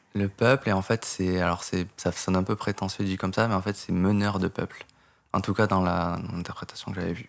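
The speech has monotone, flat intonation and a moderate pace. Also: man, very deep, low pitch for a man. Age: 20s. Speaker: programmer and game modder. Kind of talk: casual interview. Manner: calm, composed; hesitant, many fillers.

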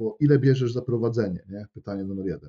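A man's somewhat breathy voice with a dark, mellow tone at a medium pitch, ordinary pitch variation and a fairly quick pace. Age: 20s. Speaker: personal trainer. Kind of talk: casual interview. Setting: wearing headphones, recording.

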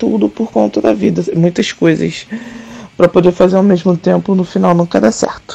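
Against noticeable background noise, a woman with a fairly low pitch speaks at a moderate pace with very wide pitch swings. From Brazil, Rio de Janeiro. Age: 30s. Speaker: tattoo artist and punk musician. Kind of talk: interview.

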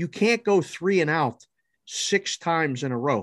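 A man with an American accent and a high voice speaks fairly slowly, the sound dry and close with no echo against a quiet background. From Pittsburgh, Pennsylvania. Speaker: sports betting analyst. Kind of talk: casual chat.

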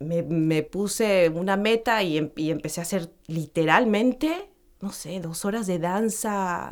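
A woman at a medium pitch, with ordinary pitch variation and a very slow pace. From Mexico. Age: 40s. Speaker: actress and voice coach. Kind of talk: casual interview chat. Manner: hesitant, many fillers.

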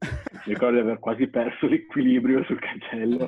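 A man with a medium pitch and an unremarkable speaking voice talks at a moderate pace. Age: 20s. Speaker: BMX athlete. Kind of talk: interview.

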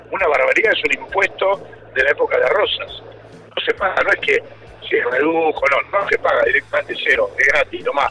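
A man speaks at a fairly quick pace, with noticeable background noise around him. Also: very even loudness. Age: 40s. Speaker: mayor and politician. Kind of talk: radio interview.

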